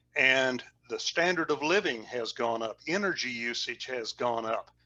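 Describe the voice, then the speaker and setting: Against music in the background, a man speaks at a fairly slow pace with lively intonation. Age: 70s. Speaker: oil and gas industry consultant.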